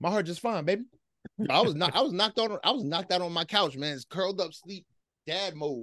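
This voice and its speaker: Delivered at a very fast pace, the speech has a bright, sharp tone and lively intonation in an American accent. The background is quiet. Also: man, high pitch for a man. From US Northeast, near Philadelphia. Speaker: hip hop podcast host. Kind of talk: casual chat.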